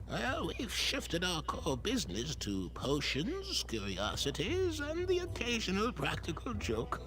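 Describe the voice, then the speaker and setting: A man speaks at a moderate pace in a put-on character voice. Loud background noise is present. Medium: game stream. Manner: chatty, giggly.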